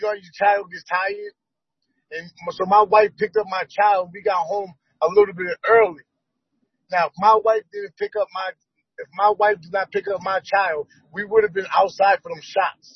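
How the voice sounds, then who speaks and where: This man has a high voice and an American accent, with fairly even intonation. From Boston. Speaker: activist. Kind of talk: casual chat.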